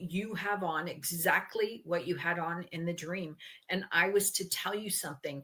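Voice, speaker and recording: Speaking with a Canadian accent, a woman has a bright, sharp, animated tone and a fairly low pitch. She goes at a fairly slow pace with ordinary pitch variation. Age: 60s. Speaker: interviewee sharing health story. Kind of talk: conversational interview. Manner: animated storytelling.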